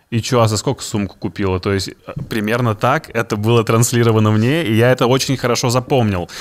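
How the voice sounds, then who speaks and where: At a fairly quick pace, a man speaks in a medium pitch with ordinary pitch variation. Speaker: podcast host. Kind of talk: casual chat. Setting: studio. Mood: amused, expressive. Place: studio. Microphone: studio mic.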